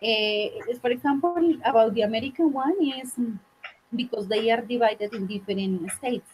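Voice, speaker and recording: Someone with a Spanish accent speaks at a moderate pace amid noticeable background noise. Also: woman, fairly high pitch for a woman, ordinary pitch variation. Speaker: English teacher. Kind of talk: online English class. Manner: halting, many fillers.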